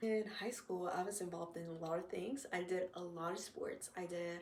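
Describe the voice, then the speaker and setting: A woman's plain, everyday voice with an American accent, medium pitch and ordinary pitch variation. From North Carolina. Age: 20s. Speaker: university student. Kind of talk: casual podcast talk.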